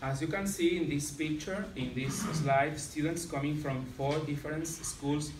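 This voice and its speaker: Amid noticeable background noise, a man with a fairly high pitch speaks at a fairly slow pace. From Catalonia, Spain. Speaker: secondary school teacher. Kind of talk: conference presentation. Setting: conference with slides. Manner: halting, hesitant with many fillers. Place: meeting room. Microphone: camera far.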